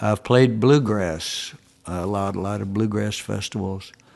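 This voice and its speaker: A man with a Tennessee accent, fairly low in pitch, at a fairly slow pace with fairly even intonation. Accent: Southern US (Tennessee). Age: 70s. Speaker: country and bluegrass musician. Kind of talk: interview. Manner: halting.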